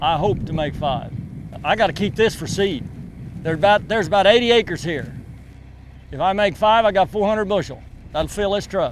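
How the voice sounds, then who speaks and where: A man with an Oklahoma accent and a high pitch, at a fairly quick pace with long, frequent pauses. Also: ordinary pitch variation. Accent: rural Oklahoma. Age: 60s. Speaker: wheat farmer. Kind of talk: interview.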